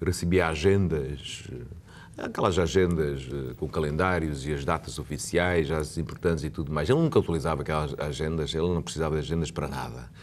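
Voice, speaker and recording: A man talks at a moderate pace in a very deep, low voice with vocal fry. His intonation stays fairly even. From Macau. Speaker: lawyer and Macanese culture advocate. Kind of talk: TV interview. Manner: halting, many repetitions.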